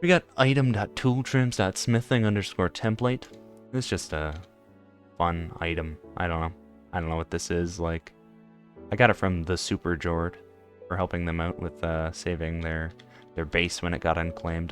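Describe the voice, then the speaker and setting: Over music in the background, a man with a very deep, low pitch talks at a moderate pace with ordinary pitch variation and long, frequent pauses. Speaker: gamer. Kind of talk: casual gameplay commentary.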